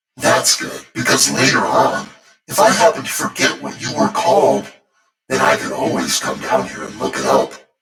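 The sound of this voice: A man's put-on character voice, extremely low with big pitch swings and vocal fry, at a moderate pace, fairly bright in tone, with audible room echo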